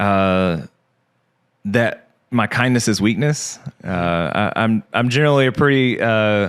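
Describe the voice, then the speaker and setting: With a strong Southern US accent, a man talks at a fairly slow pace and fairly low pitch, with long, frequent pauses, ordinary pitch variation and very even loudness. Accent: Southern accent, strong again after fading. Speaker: podcast guest, insurance agent. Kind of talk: casual interview chat. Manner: halting, many fillers and repeats.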